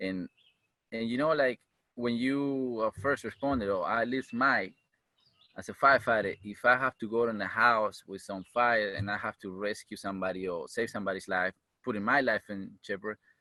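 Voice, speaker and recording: This very clean recording has a silent background and a dry, close sound with no echo. A man with a Uruguayan accent speaks in a bright, sharp tone with ordinary pitch variation. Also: medium pitch for a man, moderate pace. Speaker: firefighter and EMT. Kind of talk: interview. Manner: animated.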